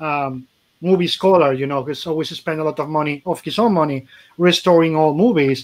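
With a Spanish accent, a man speaks at a fairly quick pace in a fairly high pitch with ordinary pitch variation. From Spain. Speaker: comic podcast host. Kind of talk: casual chat. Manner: animated. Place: home room. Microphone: video call.

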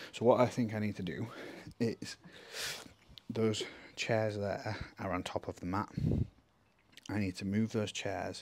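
The speaker is a man. His intonation holds fairly even. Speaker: fitness coach. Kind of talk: casual vlog chat. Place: garage.

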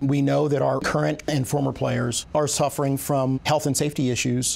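A man speaks with fairly even intonation. He moves at a moderate pace. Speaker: interviewee. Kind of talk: interview answer. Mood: serious, thoughtful. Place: office. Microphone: lapel.

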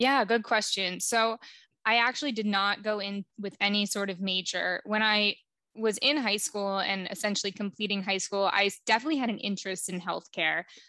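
A woman's medium-pitched voice with an American accent, bright and sharp in tone, at a moderate pace, with fairly even intonation, a dry sound with no echo, and a quiet background. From New Jersey. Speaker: public health professional; podcast guest. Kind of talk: interview. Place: home room. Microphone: headset.

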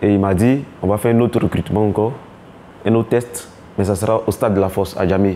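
The speech moves at a fairly quick pace with fairly even intonation over light background noise. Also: man. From Côte d'Ivoire, Abidjan (Abobo). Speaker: former footballer. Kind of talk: documentary interview. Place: home room.

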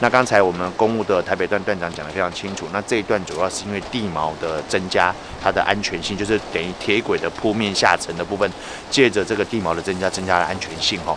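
With noticeable background noise, a man speaks at a very fast pace in a very deep, low pitch and fairly even intonation. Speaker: local official at site inspection. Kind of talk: on-site interview remarks.

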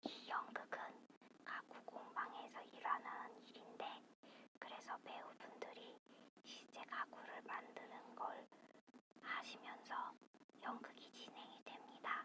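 A woman is whispering at a very slow pace. She leaves long, frequent pauses. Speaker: ASMR creator. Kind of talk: whispered ASMR theatre review. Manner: whispered.

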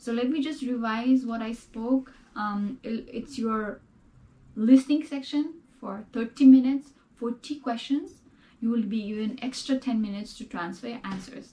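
Speaking at a fairly slow pace, a woman uses a high pitch with ordinary pitch variation, a dark, mellow tone and big swings in loudness. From Nepal. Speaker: student sharing test experience; test prep video host. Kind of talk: tutorial. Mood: calm, friendly. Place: home room.

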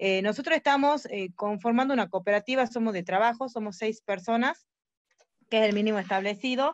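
A plain, everyday voice from a woman, fairly high in pitch with ordinary pitch variation, at a fairly quick pace, in dry sound with no echo. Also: quiet background. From Argentina, Tucumán; Argentina. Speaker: member of a new cooperative. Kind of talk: question in online webinar. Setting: video call. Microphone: video call.

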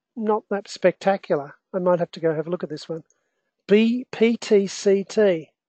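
A woman with an Australian accent, medium pitch and a dark, mellow tone, at a fairly slow pace with ordinary pitch variation, in a dry, close sound with no echo against a quiet background. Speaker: investment educator and trader. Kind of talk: live online market analysis webinar. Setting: online webinar with screen share.

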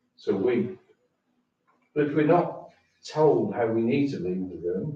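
The man's voice is medium in pitch, dark and mellow in tone, and somewhat breathy. Room echo is audible. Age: 70s. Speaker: member of the public at a council meeting. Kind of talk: public comment at council meeting. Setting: town council meeting room. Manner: halting.

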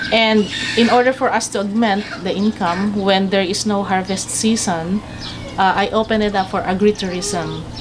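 A woman talks at a moderate pace with fairly even intonation. Noticeable background noise runs behind her. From Philippines. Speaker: coffee farmer and cafe owner. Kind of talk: explanatory tour talk. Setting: outdoors on a farm. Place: farm machine.

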